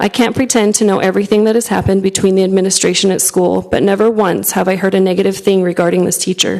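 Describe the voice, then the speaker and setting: A woman's medium-pitched, very fast delivery with hardly any pauses, monotone, flat intonation, very even loudness and noticeable background noise. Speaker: parent giving public comment. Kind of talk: public comment read from prepared statement. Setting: school board meeting room. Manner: soft-spoken.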